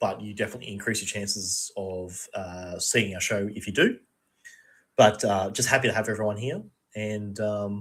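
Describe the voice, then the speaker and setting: Recorded very cleanly against a silent background, a man speaks at a fairly low pitch with fairly even intonation. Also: moderate pace. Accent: Australian. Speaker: podcast co-host. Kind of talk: casual chat.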